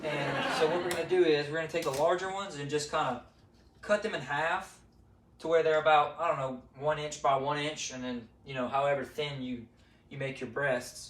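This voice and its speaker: The speaker keeps a moderate pace with ordinary pitch variation, amid noticeable background noise and audible room echo. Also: man, fairly high pitch for a man. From south Louisiana. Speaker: amateur cook, duck hunter. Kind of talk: cooking tutorial. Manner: casual, hesitant with fillers.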